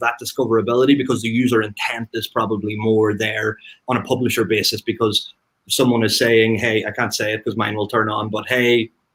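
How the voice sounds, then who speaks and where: A man with a mid-range voice rattles off his words very fast. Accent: Irish. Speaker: marketing expert panelist. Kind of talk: panel discussion.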